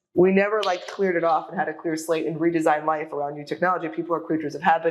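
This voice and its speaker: At a very fast pace, a woman with an American accent talks in a fairly low pitch. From New York. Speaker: real estate data analyst. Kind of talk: interview. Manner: animated.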